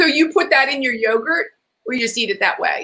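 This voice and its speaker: The tone is bright and sharp, with very wide pitch swings. The pace stays moderate. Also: woman. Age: 60s. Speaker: talk show host. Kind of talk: interview. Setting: on location in Los Angeles, not the studio. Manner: casual, rambling.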